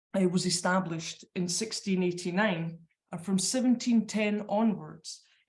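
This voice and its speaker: A woman speaks with a Scottish accent at a medium pitch. Her somewhat breathy delivery is fairly slow, with fairly even intonation. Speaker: librarian. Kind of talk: conference presentation. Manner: hesitant, many fillers; reading from notes.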